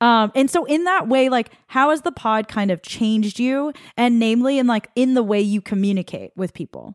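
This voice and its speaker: With an unremarkable speaking voice, a woman talks at a fairly high pitch and a moderate pace, with lively intonation and hardly any pauses. The recording is very clean with a silent background, and the sound is dry and close with no echo. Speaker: podcast co-host. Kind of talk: casual chat.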